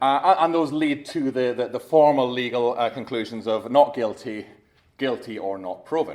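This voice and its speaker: A man is talking at a medium pitch. The pitch shifts by an ordinary amount. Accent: Scottish. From Scotland. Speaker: competition lawyer. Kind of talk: conference talk. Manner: fast; halting.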